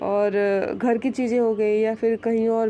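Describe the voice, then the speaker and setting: Soft-spoken and monotone, a woman talks at a fairly high pitch. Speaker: astrologer. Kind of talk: monthly horoscope talk. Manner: halting, many fillers.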